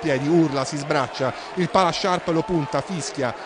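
Noticeable background noise sits behind a man's voice. He talks at a moderate pace, with ordinary pitch variation. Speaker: news reporter. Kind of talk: TV news report narration.

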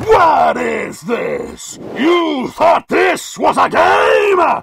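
A man's shouted, put-on character voice, extremely high and very slow. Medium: dub. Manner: commanding, menacing.

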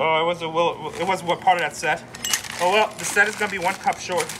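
Over noticeable background noise, a man speaks very fast in a high pitch with fairly even intonation. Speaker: storage-auction reseller. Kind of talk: casual vlog chat. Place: street. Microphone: phone near.

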